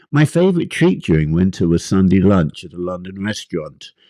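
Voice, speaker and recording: The voice has a dark, mellow tone, with a dry, close sound, no echo, and a very clean recording with a silent background. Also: man. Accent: English. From England. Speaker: author. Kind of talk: poetry reading.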